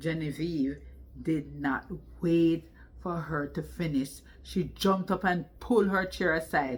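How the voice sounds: Speaking slowly, a woman uses a low pitch with ordinary pitch variation.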